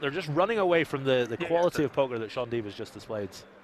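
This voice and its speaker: A man with very wide pitch swings over noticeable background noise. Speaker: poker commentator. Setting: commentary booth at a casino. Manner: playful, joking delivery.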